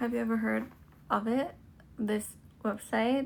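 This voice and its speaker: A woman speaks with a strong Thai accent. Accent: strong Thai accent (own view). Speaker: livestreamer. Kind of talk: casual live stream chat. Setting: TikTok live stream.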